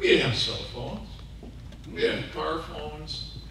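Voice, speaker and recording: A man with an American accent at a moderate pace, amid strong room echo and light background noise. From Seattle. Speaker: public address announcer. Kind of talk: speech at a prayer breakfast. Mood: humorous storytelling. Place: hall.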